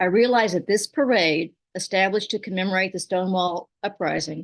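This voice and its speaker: A woman's medium-pitched voice with a Southern US accent and fairly even intonation, against a quiet background. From Kentucky. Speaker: poet and storyteller. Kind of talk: personal story told at a poetry reading.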